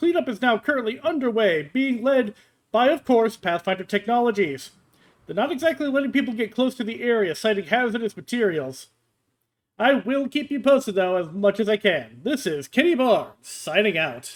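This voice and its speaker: A man's put-on character voice, extremely high-pitched, at a moderate pace, on a very clean recording with a silent background. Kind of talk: morning radio broadcast. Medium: actual play. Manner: upbeat, chatty.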